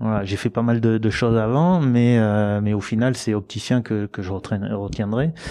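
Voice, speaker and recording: A man's dark, mellow tone at a moderate pace, ordinary pitch variation and hardly any pauses, over a quiet background. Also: medium pitch for a man. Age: 40s. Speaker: rally co-driver; guest. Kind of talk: casual interview. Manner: hesitant, with frequent filler words. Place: studio. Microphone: handheld.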